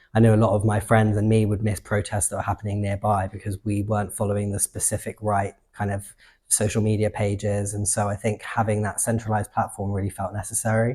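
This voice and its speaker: In a southern English accent, a man with a fairly low pitch and a dark, mellow, somewhat breathy tone talks at a very fast pace with hardly any pauses and a monotone, flat intonation, on a very clean recording with a silent background. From England. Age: 20s. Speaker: activist and artist. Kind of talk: interview answers. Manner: conversational with fillers.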